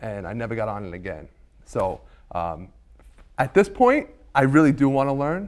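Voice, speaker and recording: A man with a New York accent, very wide pitch swings, big swings in loudness, and long, frequent pauses, in a very clean recording with a silent background. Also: medium pitch for a man, moderate pace. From Staten Island, New York. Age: 30s. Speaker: talk show guest. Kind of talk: casual chat.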